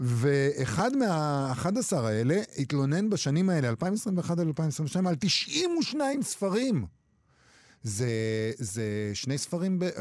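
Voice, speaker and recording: A man speaks at a very slow pace, with fairly high pitch and very wide pitch swings. The recording is very clean, with a silent background. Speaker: radio host. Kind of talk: casual chat. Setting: studio.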